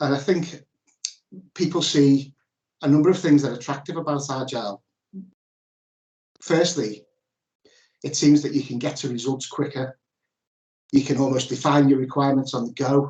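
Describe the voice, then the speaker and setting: A man with a Liverpool accent speaks at a moderate pace in a fairly high, somewhat breathy voice with fairly even intonation, leaving long, frequent pauses against a quiet background with audible room echo. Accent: Liverpool (Scouse), noticeable. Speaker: ERP consultant presenting at a workshop; webinar presenter. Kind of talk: presentation. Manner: hesitant with fillers and restarts. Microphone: video call.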